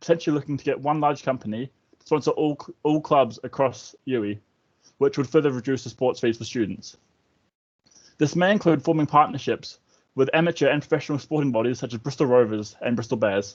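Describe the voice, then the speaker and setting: Talking at a fairly quick pace in a New Zealand accent, a man has a fairly high pitch, ordinary pitch variation, and big swings in loudness. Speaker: student election candidate. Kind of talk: campaign speech.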